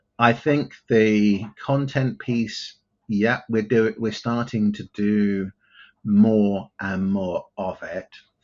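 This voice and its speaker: With fairly even intonation, a man speaks at a very slow pace in a fairly low pitch. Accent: English. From southern England (outside London). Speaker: tech company CEO. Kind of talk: interview.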